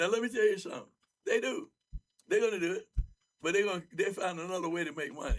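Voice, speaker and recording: Loud and very fast, a man speaks in a high pitch with ordinary pitch variation. Long, frequent pauses break up his speech. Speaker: bishop. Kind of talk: panel discussion. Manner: animated.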